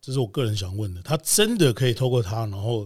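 A somewhat breathy man talks fairly quickly at a medium pitch with ordinary pitch variation, in a very clean recording with a silent background. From Taiwan. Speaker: DJ and podcast host. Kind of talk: casual interview.

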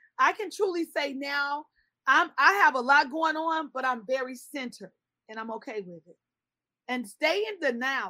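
A raised, projected voice with an American accent, a bright, sharp tone, lively intonation and a moderate pace. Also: woman. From Chicago. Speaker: pedicurist and skincare entrepreneur. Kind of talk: interview.

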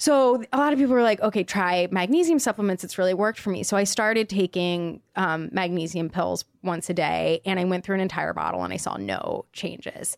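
At a fairly quick pace with hardly any pauses, an unremarkable speaking voice uses ordinary pitch variation, in a very clean recording with a silent background and a dry, close sound with no echo. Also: woman, medium pitch for a woman. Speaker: podcast co-host. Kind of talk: casual chat. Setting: studio.

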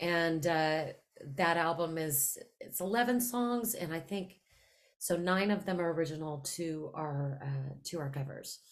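A plain, everyday voice with ordinary pitch variation moves at a fairly slow pace. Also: woman, fairly low pitch for a woman. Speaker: singer-songwriter.

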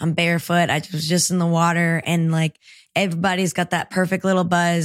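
A woman's fairly low pitch, flat monotone intonation and moderate pace on a very clean recording with a silent background. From El Salvador, then Marietta, Georgia. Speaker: singer-songwriter. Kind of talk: casual interview chat.

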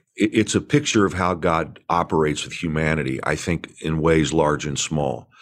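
An American-accented man with a very deep, low pitch and vocal fry speaks at a moderate pace with ordinary pitch variation. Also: hardly any pauses. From Indiana, US Midwest. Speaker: pastor and author. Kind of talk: interview conversation. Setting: video call.

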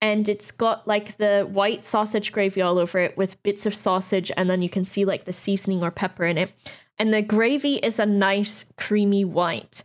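A woman speaks in a normal speaking voice at a medium pitch, with fairly even intonation and a moderate pace. The recording is very clean with a silent background, and the loudness stays very even. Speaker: co-host. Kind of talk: casual chat.

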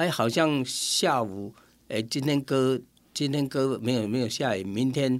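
A man talks at a fairly slow pace in a normal speaking voice, medium in pitch, with ordinary pitch variation. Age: 60s. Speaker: local councillor and citronella farmer. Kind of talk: radio interview.

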